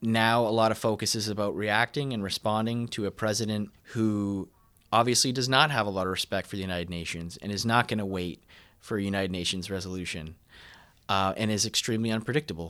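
A man with a normal speaking voice talks at a fairly quick pace, his fairly low pitch showing ordinary variation, on a very clean recording with a silent background. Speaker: political editor. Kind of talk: interview analysis.

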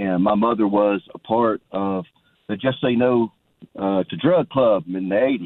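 A man speaks with a Southern US accent. His pitch is fairly low and his pace fairly slow. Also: ordinary pitch variation. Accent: Southern American. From Georgia, US. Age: 40s. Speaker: caller. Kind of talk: casual chat.

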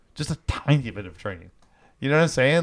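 The man's voice sits at a medium pitch. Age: 50s. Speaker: podcast co-host. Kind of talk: casual chat. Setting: studio. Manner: animated.

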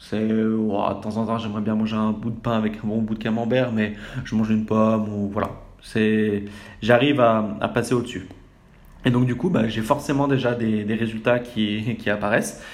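A man at a moderate pace in a flat monotone, with audible room echo. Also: medium pitch for a man. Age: 20s. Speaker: podcaster. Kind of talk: personal monologue. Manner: hesitant, many fillers.

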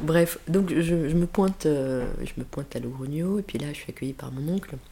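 A woman's very deep, low voice carries ordinary pitch variation at a moderate speed. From Switzerland (Geneva), Spanish parents. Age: 50s. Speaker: school principal. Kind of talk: interview. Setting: recorded in Geneva.

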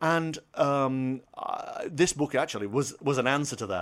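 The recording is very clean, and the background is silent. A man talks in a British accent. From Britain. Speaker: former radio broadcaster and author. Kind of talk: casual interview chat.

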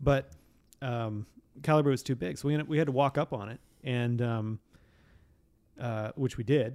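A man with an American accent, medium pitch, ordinary pitch variation, and long, frequent pauses. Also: moderate pace. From Montana. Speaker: author's descendant and hunter. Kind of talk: casual chat. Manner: halting.

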